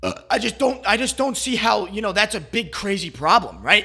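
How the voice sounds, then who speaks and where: A man's high-pitched, raised and projected voice, bright and sharp in tone, at a moderate pace on a very clean recording with a silent background. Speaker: commentary YouTuber. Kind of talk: casual commentary monologue. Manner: halting, stuttering.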